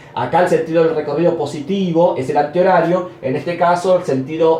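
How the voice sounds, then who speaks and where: Noticeable background noise and audible room echo fill the recording. A man speaks at a moderate pace. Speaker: math professor. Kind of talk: lecture. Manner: stumbles over words at times.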